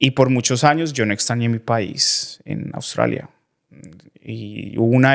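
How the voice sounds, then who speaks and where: A man with an ordinary speaking voice talks at a medium pitch and moderate pace with ordinary pitch variation, in a very clean recording with a silent background and a dry, close sound with no echo. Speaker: podcast host. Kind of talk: podcast interview.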